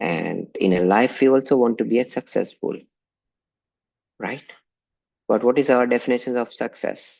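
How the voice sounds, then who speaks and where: Long, frequent pauses at a moderate pace, with ordinary pitch variation over a quiet background. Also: man, medium pitch for a man. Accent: Indian. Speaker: religious teacher. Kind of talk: online class lecture.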